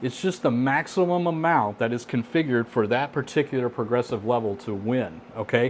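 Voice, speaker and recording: A man at medium pitch speaks fairly quickly with lively intonation and hardly any pauses. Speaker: casino gambling tips presenter. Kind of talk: educational tutorial. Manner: fast; casual, conversational.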